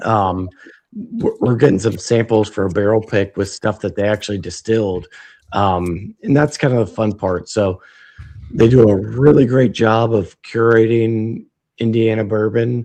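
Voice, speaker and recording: A man with a dark, mellow tone and fairly low pitch speaks at a moderate pace, keeping his intonation fairly even. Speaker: whiskey retailer. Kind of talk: casual livestream interview. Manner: hesitant, many fillers.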